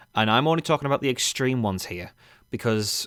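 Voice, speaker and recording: A man's voice with ordinary pitch variation, dry and close with no echo, in a very clean recording with a silent background. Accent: English. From England. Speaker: gaming commentator. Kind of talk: rant. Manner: informal, swearing-laced.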